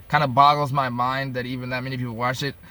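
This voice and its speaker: The man's voice has a bright, sharp tone. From upstate New York. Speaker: vlogger. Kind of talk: casual monologue. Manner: halting.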